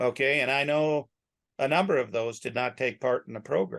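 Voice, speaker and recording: With a plain, everyday voice, a man talks at fairly high pitch with ordinary pitch variation. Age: 60s. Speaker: rancher. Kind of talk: casual chat.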